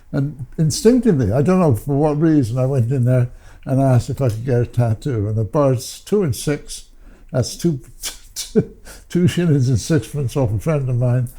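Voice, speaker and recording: At a moderate pace and medium pitch, a man talks in a somewhat breathy voice with a dark, mellow tone and ordinary pitch variation. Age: 80s+. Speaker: tattoo artist. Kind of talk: interview storytelling. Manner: halting.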